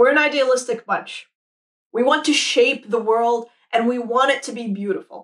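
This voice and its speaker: A woman talks at a moderate pace in a high pitch. Her tone is enthusiastic, and the background is quiet. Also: ordinary pitch variation. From Saudi Arabia. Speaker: product designer. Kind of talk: conference talk. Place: home room.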